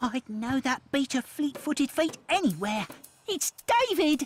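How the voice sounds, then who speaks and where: A woman's cartoonish character voice, high-pitched and female-sounding, moving at a moderate pace. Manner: dry, matter-of-fact.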